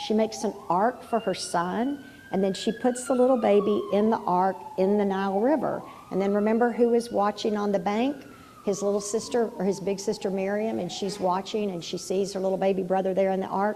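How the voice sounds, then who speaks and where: A woman speaks at a fairly quick pace with a medium pitch, and some room echo is audible. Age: 60s. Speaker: pastor. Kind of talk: sermon. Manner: casual, conversational; animated.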